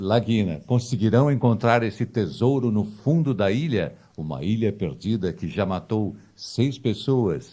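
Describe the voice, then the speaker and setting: Against a quiet background, a man with a fairly low pitch, vocal fry and a dark, mellow tone talks at a fairly slow pace with lively intonation. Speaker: documentary narrator. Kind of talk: documentary narration.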